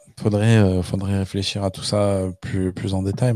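A man's fairly low, dark, mellow voice, monotone and flat, at a very slow pace. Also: very clean recording, silent background. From France, Le Puy-en-Velay (Haute-Loire). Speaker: podcast host and stand-up comedian. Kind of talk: casual chat.

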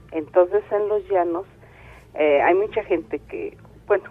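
This speaker talks at a fairly slow pace with a central Mexican accent and ordinary pitch variation. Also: woman. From State of Mexico. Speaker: caller. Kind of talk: phone-in storytelling.

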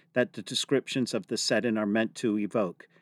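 With an ordinary speaking voice, a man talks with ordinary pitch variation. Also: dry, close sound with no echo. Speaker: museum podcast host. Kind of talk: educational podcast chat.

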